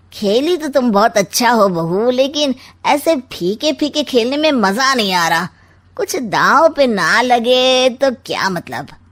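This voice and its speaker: A woman performs a cartoonish character voice, high-pitched and lively in intonation, moving at a fairly slow pace. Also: very clean recording, silent background. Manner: sly, teasing, rhyming wisecracks.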